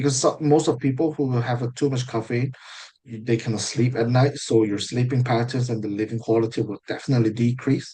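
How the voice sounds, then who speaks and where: Against a quiet background, a man with a dark, mellow tone and medium pitch speaks somewhat breathily at a fairly quick pace with fairly even intonation. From South Korea. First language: Korean. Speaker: IELTS mock test candidate. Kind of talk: mock speaking exam interview. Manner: halting, with fillers and self-corrections.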